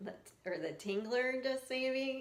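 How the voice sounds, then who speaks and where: Heard with audible room echo, a woman with an American accent speaks at a fairly slow pace. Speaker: skin picking coach. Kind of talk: casual tutorial. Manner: casual, hesitant with fillers.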